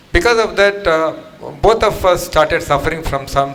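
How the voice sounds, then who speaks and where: A man speaks with lively intonation amid audible room echo and noticeable background noise. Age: 60s. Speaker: program participant. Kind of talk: testimony.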